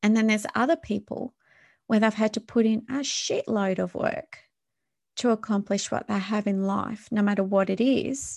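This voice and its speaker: With a fairly high pitch and somewhat breathy delivery, a woman speaks at a moderate pace with fairly even intonation, the sound dry and close with no echo against a quiet background. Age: 40s. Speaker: wellness podcast host. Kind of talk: solo podcast monologue.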